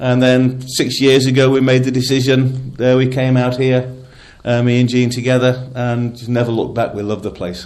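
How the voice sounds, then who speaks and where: A man with a northern English accent talks at a moderate pace, his medium pitch held in a monotone, flat intonation. Room echo is audible. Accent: generic northern English. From northern England (Lancashire, Nottingham-born). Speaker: magician, former drummer. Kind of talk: radio interview.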